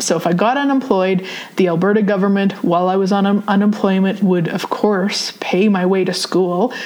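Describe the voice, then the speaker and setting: Noticeable background noise sits behind a woman with a Canadian Prairie accent who speaks at medium pitch and a moderate pace with fairly even intonation. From Saskatchewan, Canada. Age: 40s. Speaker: podcast host and spiritual teacher. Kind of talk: personal storytelling monologue. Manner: casual, with frequent fillers.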